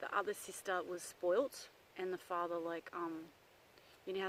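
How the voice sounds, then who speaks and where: A woman with an Australian accent, fairly low in pitch, with monotone, flat intonation. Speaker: psychic medium. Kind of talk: casual vlog talk. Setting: outdoors in the bush. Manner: loud; hesitant, many fillers.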